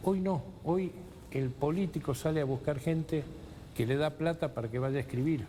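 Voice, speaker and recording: A man speaks at a moderate pace in a dark, mellow, somewhat breathy tone with ordinary pitch variation. His loudness stays very even, broken by long, frequent pauses. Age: 70s. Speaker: former provincial legislator. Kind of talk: TV political interview. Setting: TV studio. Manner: halting, frequent restarts.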